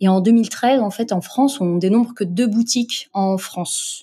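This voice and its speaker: Fairly even intonation marks a woman's somewhat breathy voice with a dark, mellow tone. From Morocco. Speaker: entrepreneur, founder of an online zero-waste shop. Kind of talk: interview. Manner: halting, many fillers.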